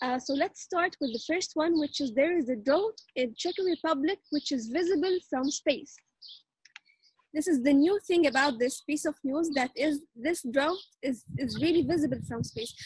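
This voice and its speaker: A high-pitched woman's voice, dry with no echo. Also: ordinary pitch variation, moderate pace, quiet background. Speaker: show anchor. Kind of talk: casual interview hosting. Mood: cheerful, friendly. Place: garden. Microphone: video call.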